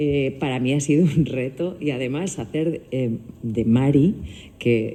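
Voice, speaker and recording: A woman speaks with a very deep, low pitch and a dark, mellow tone. She moves fairly slowly with ordinary pitch variation, and room echo is audible. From Biscay, Basque Country. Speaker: actor. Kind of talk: press conference answer.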